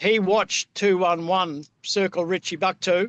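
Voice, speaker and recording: A man's voice sits high in pitch, with fairly even intonation. The sound is dry and close with no echo. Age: 70s. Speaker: pilot and aircraft searcher. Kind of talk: casual chat.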